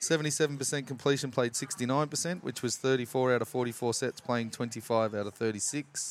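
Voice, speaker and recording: A man with an Australian accent talks at a very slow pace with hardly any pauses. Noticeable background noise is present. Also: medium pitch for a man, ordinary pitch variation. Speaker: rugby league podcast co-host. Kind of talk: casual chat.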